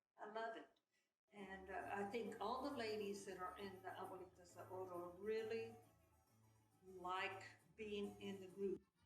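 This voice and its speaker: Delivered at a fairly slow pace with long, frequent pauses and fairly even intonation, the speech carries audible room echo and music in the background. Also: woman, medium pitch for a woman. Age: 70s. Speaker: senior dancer. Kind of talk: interview.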